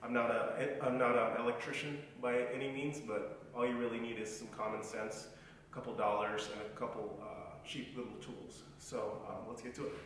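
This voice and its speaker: The speech moves at a moderate pace amid strong room echo and light background noise. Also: man. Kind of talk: casual vlog chat. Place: garage. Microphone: camera far.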